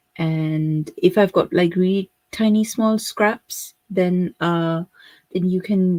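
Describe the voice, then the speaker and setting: In a very clean recording with a silent background and dry, close sound with no echo, a woman with a Pakistani accent speaks very slowly at medium pitch in a dark, mellow tone. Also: fairly even intonation. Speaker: craft tutor. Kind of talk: live stream tutorial. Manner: casual with many fillers.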